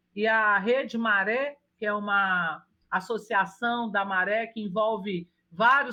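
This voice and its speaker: A woman with a Minas Gerais accent speaks at a very slow pace. Her voice is fairly high-pitched, with a bright, sharp tone. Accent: mineiro (Minas Gerais). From Brazil, Minas Gerais. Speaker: urban planner and architect. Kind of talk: interview. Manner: halting with frequent restarts.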